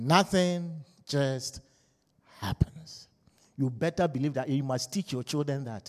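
Passionate in tone, a man speaks fairly slowly at a fairly high pitch with ordinary pitch variation and long, frequent pauses, in a very clean, dry, close recording with no echo and a silent background. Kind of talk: fervent sermon turning into a congregational prayer, with call-and-response amens. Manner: urgent, pleading and exhorting, leading the crowd with 'say amen'; passionate, pulpit-style, repeatedly urging the congregation to wake up.

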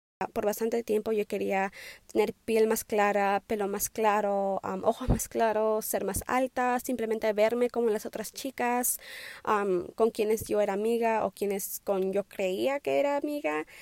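In a very clean recording with a silent background and dry, close sound with no echo, a woman speaks at a fairly slow pace with fairly high pitch and ordinary pitch variation. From Wisconsin, US (born in Peru). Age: 20s. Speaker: nursing student, podcaster. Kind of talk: solo personal monologue. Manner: hesitant, many fillers.

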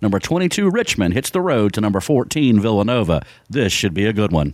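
A man's normal speaking voice at medium pitch, lively in intonation and moderate in pace, on a very clean recording with a silent background. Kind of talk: radio ad read, sales pitch. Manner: brisk, earnest, polished announcer pitch.

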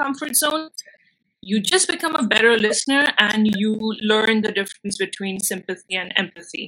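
A woman with an Indian accent, fairly high-pitched, with a bright, sharp tone, a fairly slow pace and ordinary pitch variation. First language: Bengali. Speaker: filmmaker and actress. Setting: video call.

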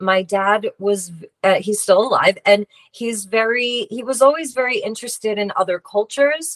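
An unremarkable speaking voice from a woman with an American accent, fairly high pitch, ordinary pitch variation and a fairly slow pace, in a dry, close sound with no echo. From US Northeast, Long Island, New York. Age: 40s. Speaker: tarot reader and healer. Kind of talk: interview.

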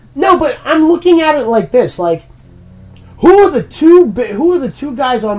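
A moderate pace over music in the background. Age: 30s. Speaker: wrestling podcast co-host. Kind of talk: casual chat.

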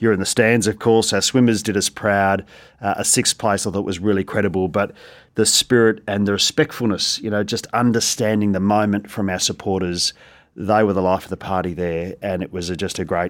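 A man with an Australian accent talks at a fairly quick pace with fairly even intonation, on a very clean recording with a silent background. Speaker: school principal. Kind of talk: casual interview chat.

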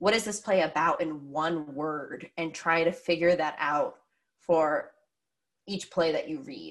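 A woman speaks in a plain, everyday voice, fairly low in pitch with ordinary pitch variation. Her pace is fairly slow. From Pennsylvania. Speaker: theatre director and actress. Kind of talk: casual interview. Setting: video call.

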